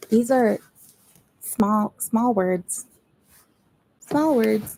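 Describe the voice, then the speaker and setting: A woman's fairly high voice with a dark, mellow tone and ordinary pitch variation, dry and close with no echo. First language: not English. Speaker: booktuber streamer. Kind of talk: live stream chat. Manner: casual, rambling.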